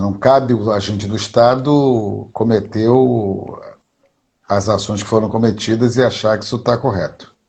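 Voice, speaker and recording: The speaker is a man with a fairly low pitch. He talks at a moderate pace with ordinary pitch variation. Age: 60s. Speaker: history professor and activist. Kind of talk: interview. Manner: halting, with filler words.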